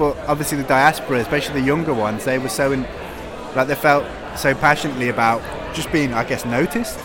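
Talking at a very fast pace over noticeable background noise, a man speaks with a fairly high pitch. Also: ordinary pitch variation. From English Midlands, British Cypriot family. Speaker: independent publisher. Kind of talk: casual interview. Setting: live event at a book fair.

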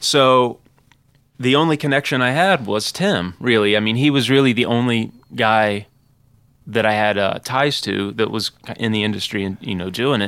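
A man uses an ordinary speaking voice, keeping a moderate pace and ordinary pitch variation. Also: medium pitch for a man. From southern Ohio. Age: 20s. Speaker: rock band guitarist. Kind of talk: casual interview. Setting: studio.

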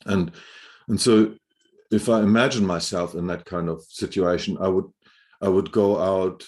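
In a German accent, a man speaks at a fairly slow pace with a fairly low pitch and fairly even intonation. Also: quiet background. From Germany, Hamburg. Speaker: building biologist, indoor air expert. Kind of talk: interview. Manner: halting, frequent repetitions.

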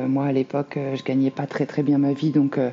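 A woman's very deep, low voice amid noticeable background noise. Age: 30s. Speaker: single mother sharing her story. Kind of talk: interview testimony. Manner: hesitant, many fillers.

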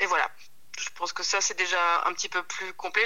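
A woman talking at a fairly quick pace. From Belgium, Centre region (Hainaut). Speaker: pasta maker and lecturer. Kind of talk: casual interview. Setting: phone call. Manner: halting, many repetitions.

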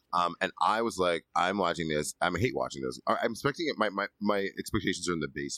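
A man talks at a very fast pace in a very deep, low pitch with vocal fry. His tone is bright and sharp, and his intonation is lively. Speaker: podcast co-host. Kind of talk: casual chat.

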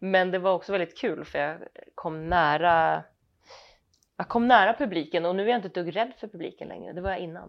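A woman with a normal speaking voice, fairly low in pitch, ordinary pitch variation and big swings in loudness. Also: fairly quick pace. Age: middle-aged. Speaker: actress. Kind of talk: casual chat. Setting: at home.

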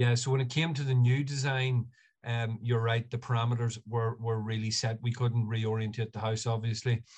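A man with an Ulster accent, somewhat breathy, at medium pitch and a moderate pace with monotone, flat intonation. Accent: Ulster Irish (Monaghan). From Ireland, north County Monaghan. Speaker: architectural technologist. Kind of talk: casual interview.

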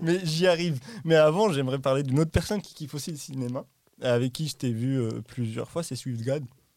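A man talks at a fairly quick pace in an ordinary speaking voice with a fairly high pitch. His loudness swings widely, while his pitch varies in an ordinary way. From Morocco. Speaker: podcast host. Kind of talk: casual chat.

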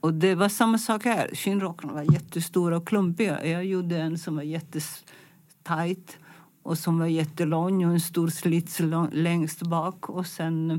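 In an Italian accent, a woman speaks at a fairly slow pace and a fairly low pitch. Her intonation stays fairly even. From Italy, Milan. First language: Italian (speaking Swedish). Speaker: fashion designer. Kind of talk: interview. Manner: halting.

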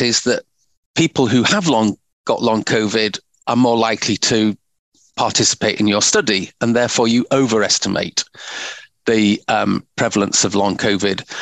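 At a moderate pace and medium pitch, a man speaks in a normal speaking voice with very even loudness and a dry, close sound with no echo. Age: 60s. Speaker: medical professor. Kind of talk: interview.

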